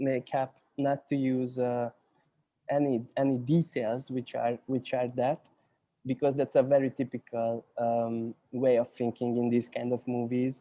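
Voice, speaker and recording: In a Hungarian accent, a man talks at a fairly slow pace with a medium-pitched, dark, mellow tone. His intonation is monotone and flat, and the sound is dry and close with no echo. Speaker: cinematographer. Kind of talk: panel discussion. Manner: halting, many repetitions and fillers.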